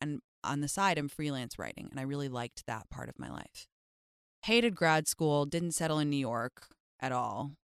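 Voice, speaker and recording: At a very fast pace, a woman with a very deep, low pitch and lively intonation comes through in a dry, close recording without echo. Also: very clean recording, silent background. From England (London). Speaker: social media influencer. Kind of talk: casual chat. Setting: studio.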